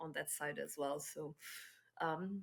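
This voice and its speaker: A woman with a bright, sharp tone speaks at a fairly slow pace with fairly even intonation, in a very clean recording with a silent background. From Portugal. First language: Portuguese. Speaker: head of business development. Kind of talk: podcast interview.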